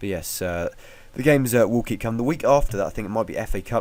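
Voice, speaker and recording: A man talks at a very fast pace. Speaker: football video reviewer. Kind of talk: solo football results review. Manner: hesitant, many fillers.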